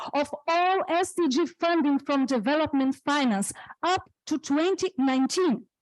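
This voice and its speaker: A woman with a non-native accent and a high pitch speaks in a dry, close sound with no echo. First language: not English. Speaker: panel speaker. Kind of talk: reading aloud prepared talk.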